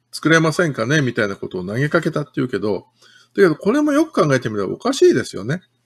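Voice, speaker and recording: Against a quiet background, a man with a fairly high voice and vocal fry talks very fast, his pitch swinging very widely and his loudness rising and falling sharply. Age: 50s. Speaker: city councillor. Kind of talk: political livestream commentary. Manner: casual, chatty. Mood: critical, indignant. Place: home room. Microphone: webcam.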